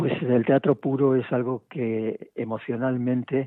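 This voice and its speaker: This man has a medium-pitched voice. His intonation stays fairly even. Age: 70s. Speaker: playwright and theatre director. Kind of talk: interview. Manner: halting, with many repetitions.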